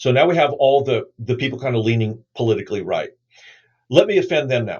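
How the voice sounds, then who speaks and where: Speaking very fast, a man with a medium-pitched voice sounds somewhat breathy. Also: ordinary pitch variation. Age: 60s. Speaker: New Testament scholar and pastor. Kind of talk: podcast interview. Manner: halting.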